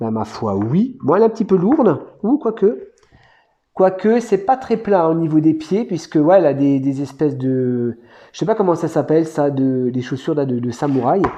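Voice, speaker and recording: A man's fairly high-pitched voice swings very widely in pitch. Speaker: toy collector youtuber. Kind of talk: unboxing review. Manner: fast; casual, hesitant.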